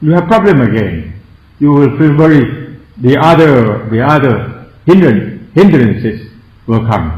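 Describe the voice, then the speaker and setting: Very slow, widely swinging pitch in a strong Thai accent, with audible room echo. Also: man. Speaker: Buddhist monk and meditation teacher. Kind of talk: meditation lecture. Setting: meditation centre. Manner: halting.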